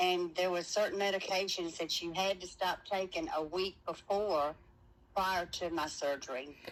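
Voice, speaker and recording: A woman with an ordinary speaking voice, medium pitch, ordinary pitch variation and a fairly slow pace. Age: 60s. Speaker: surgery patient. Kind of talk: interview.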